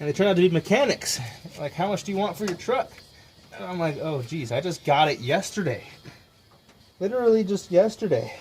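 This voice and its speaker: Over noticeable background noise, a man mumbles at a fairly quick pace, his high pitch carrying lively intonation. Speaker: DIY mechanic YouTuber. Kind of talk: casual workshop vlog. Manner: mumbling.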